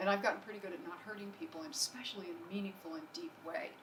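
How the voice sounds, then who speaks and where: A woman with an American accent speaks at a medium pitch. Noticeable background noise and audible room echo are on the recording. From New Jersey. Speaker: acupuncturist and entrepreneur. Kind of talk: business presentation. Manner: fast.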